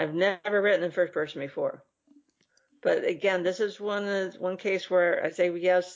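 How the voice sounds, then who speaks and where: A woman's medium-pitched voice, an unremarkable speaking voice, with fairly even intonation and a moderate pace. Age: 50s. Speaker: book publisher and writer. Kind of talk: casual chat.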